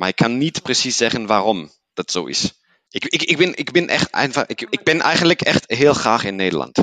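A man's bright, sharp voice of medium pitch with vocal fry, very wide pitch swings and a moderate pace, in a dry, close sound with no echo. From Germany, Paderborn. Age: 30s. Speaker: business manager and Netherlands enthusiast. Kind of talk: casual interview chat. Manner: hesitant with many fillers.

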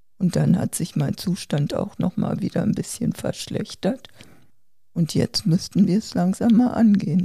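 Somewhat breathy and dark, mellow in tone, a woman's medium-pitched voice moves at a fairly slow pace with ordinary pitch variation. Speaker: seriously ill COPD patient, podcast co-host. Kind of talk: casual family conversation.

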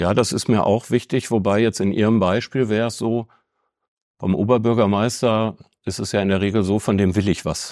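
An ordinary speaking voice from a man, fairly low in pitch, with fairly even intonation, a moderate pace, and a very clean recording with a silent background. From Ruhr area, Bochum. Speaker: chamber of crafts executive. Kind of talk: interview.

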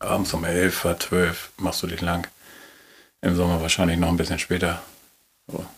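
A man speaks with a very deep, low pitch. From northern Germany, Schleswig-Holstein coast. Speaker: hotel ship owner. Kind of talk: casual interview. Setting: on a moored hotel ship.

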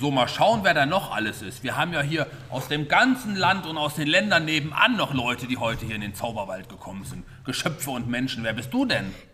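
Against noticeable background noise, a man with a fairly high pitch speaks at a fairly quick pace, his pitch swinging very widely. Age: 40s. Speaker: narrator of children's story play. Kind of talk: improvised children's radio play, interviewing characters. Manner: animated.

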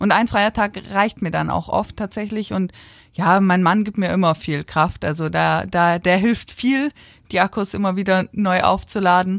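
A woman with an unremarkable speaking voice talks at a fairly slow pace with fairly even intonation. The recording is very clean, with a silent background. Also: medium pitch for a woman. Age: 20s. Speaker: national rhythmic gymnastics coach. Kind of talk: casual interview.

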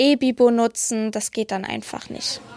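On a very clean recording with a silent background and a dry, close sound with no echo, the speech is monotone and flat at a moderate pace. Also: woman. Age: 20s. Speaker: library apprentice. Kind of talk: interview.

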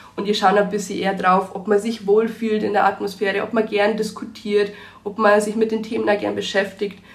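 A woman talks at a fairly quick pace in a medium pitch, her intonation monotone and flat. Noticeable background noise runs under her voice. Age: 20s. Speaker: biology student and youth volunteer. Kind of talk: casual interview.

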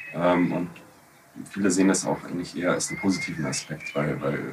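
Noticeable background noise and audible room echo accompany a man with a very deep, low pitch speaking at a moderate pace. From Bavaria, Munich. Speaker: podcast co-host. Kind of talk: casual discussion.

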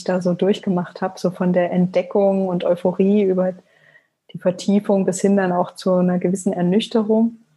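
A woman with a medium pitch speaks in a monotone, flat way, her tone dark and mellow and somewhat breathy. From Leipzig, eastern Germany. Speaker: blogger and author. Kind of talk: interview.

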